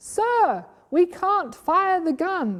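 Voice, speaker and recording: Putting on a squeaky character voice, a woman talks at an extremely high pitch with lively intonation. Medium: read story. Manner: deferential, hesitant.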